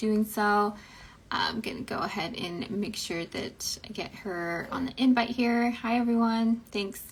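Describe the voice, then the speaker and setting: At a moderate pace, a woman uses a normal speaking voice with a fairly high pitch and ordinary pitch variation. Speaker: podcast host. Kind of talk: podcast interview questions. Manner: casual, chatty.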